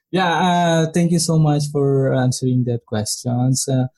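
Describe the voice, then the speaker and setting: The voice is somewhat breathy and dark and mellow in tone, with fairly even intonation. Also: man. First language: not English. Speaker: podcast host. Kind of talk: casual interview, host. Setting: home recording, dogs barking nearby. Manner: halting, many fillers.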